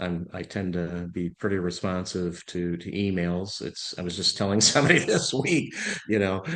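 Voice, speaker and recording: A man's very deep, low voice with an American accent, ordinary pitch variation and a moderate pace. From US Midwest, Illinois. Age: 60s. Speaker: venture capital investor. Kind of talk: podcast interview.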